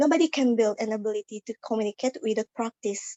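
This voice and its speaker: A woman speaks with an Indonesian accent at a moderate pace. Her pitch sits fairly high. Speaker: student. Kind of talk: class speech. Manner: halting.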